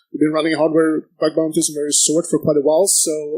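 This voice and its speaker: Here a man speaks at a fairly quick pace, his fairly high voice dark and mellow in tone. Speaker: panel moderator. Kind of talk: panel moderation. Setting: conference stage with audience. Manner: fast talker.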